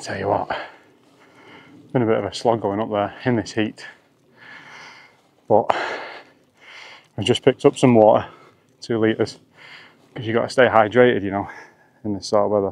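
A man speaks at a fairly low pitch in a slightly mellow tone with vocal fry. He leaves long, frequent pauses. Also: fairly even intonation, moderate pace.

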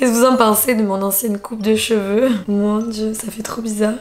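At a moderate pace, a woman speaks in a fairly high, monotone voice with flat intonation. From southern France, Marseille; southern France. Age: 30s. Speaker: influencer, YouTuber. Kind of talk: casual vlog. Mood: playful, self-mocking. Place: home room. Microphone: camera far.

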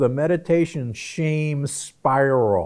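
A man speaks at a slow pace with a slightly mellow tone.

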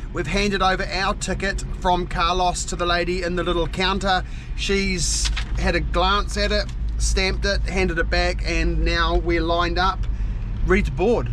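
Noticeable background noise sits behind a man's voice. He talks at a moderate pace, and the sound is dry with no echo. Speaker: father travel vlogger. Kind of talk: casual vlog chat. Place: car. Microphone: phone near.

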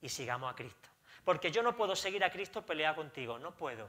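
A man's raised, projected voice has a bright, sharp tone. His pitch swings very widely. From Spain. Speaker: pastor; pastor preaching. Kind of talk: sermon. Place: church.

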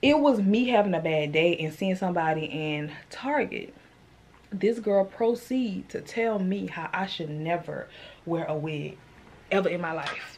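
A woman with a fairly low pitch speaks at a fairly slow pace with lively intonation over light background noise. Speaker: vlogger. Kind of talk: casual vlog chat. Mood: animated, a bit irritated. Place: home room. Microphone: phone near.

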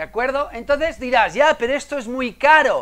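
A man talks with an extremely high pitch. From Menorca, Spain; Spain. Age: 50s. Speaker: innovation consultant and conference speaker; conference speaker. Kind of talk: conference talk. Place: hall.

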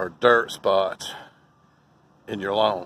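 At a fairly slow pace, a man speaks with a North Carolina accent and a medium pitch. The sound is dry with no echo, with light background noise. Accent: US Southern (North Carolina). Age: old. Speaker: lawn care business owner. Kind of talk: tutorial. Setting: outdoors. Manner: casual, folksy. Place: garden. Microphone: phone near.

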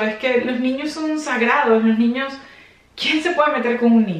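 Room echo is audible as a woman speaks at a high pitch. Her pitch varies in an ordinary way. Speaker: fashion vlogger. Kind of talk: casual vlog commentary. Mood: serious, indignant. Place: home room.

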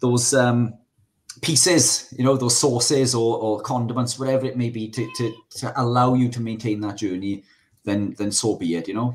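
This man has a Welsh accent. His intonation stays fairly even. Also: medium pitch for a man, moderate pace. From Wales. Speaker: carnivore diet advocate; podcast guest or co-host. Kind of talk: casual chat. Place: home room. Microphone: studio mic.

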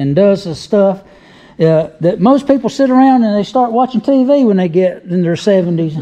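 Over a quiet background, a man talks with lively intonation at a high pitch. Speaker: car show video host. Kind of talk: casual talk to camera. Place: garage. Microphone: phone near.

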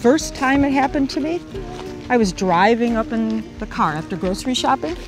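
With music playing behind, the voice moves at a fairly quick pace and swings very widely in pitch. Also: woman. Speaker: grandmother. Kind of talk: customer testimonial.

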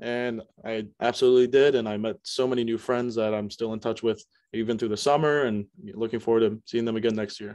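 A man with an American accent talks at a fairly quick pace, his intonation fairly even. The sound is dry with no echo, and the background is quiet. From US South, Myrtle Beach, South Carolina. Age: young. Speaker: college student. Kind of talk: interview. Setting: video call. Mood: warm, reflective. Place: home room. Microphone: video call.

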